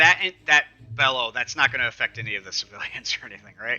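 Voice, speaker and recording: Music plays in the background. A man speaks at a very fast pace. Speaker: tabletop roleplaying player. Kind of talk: casual game chat.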